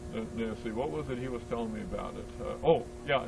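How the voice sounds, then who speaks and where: With an American accent, a man talks at a moderate pace over background music, and the room echo is audible. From California. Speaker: museum visitor. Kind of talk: casual chat.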